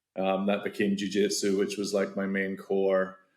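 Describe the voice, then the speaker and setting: A man with a fairly low pitch speaks in a Scottish accent at a moderate pace. The recording is very clean, with a silent background. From Scotland. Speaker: tech founder, martial arts coach. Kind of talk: podcast interview.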